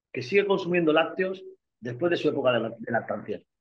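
A man's high voice moves at a fairly quick pace with lively intonation. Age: 50s. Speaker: bodybuilder and nutritionist. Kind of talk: casual interview. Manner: animated.

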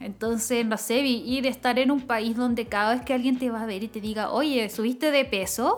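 The speaker has a Chilean accent and fairly even intonation at a moderate pace. There are hardly any pauses, and background noise is noticeable. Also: woman, high pitch for a woman. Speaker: podcast co-host. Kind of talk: casual chat.

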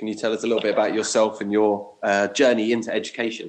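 A man with a southern English accent, at a fairly quick pace. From southern England (Watford). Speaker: primary school teacher, podcast co-host. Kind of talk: casual chat.

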